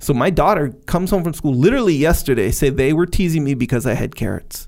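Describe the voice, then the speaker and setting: A man talks in an ordinary speaking voice at a fairly high pitch. His intonation is lively. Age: 40s. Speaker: podcast co-host. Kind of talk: casual chat.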